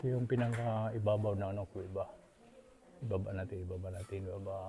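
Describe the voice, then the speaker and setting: Soft-spoken and very fast, the voice comes through noticeable background noise. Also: man, fairly low pitch for a man, fairly even intonation. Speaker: travel vlogger. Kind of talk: casual vlog narration. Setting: outdoors, hilltop cave. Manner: soft-spoken, hushed inside cave.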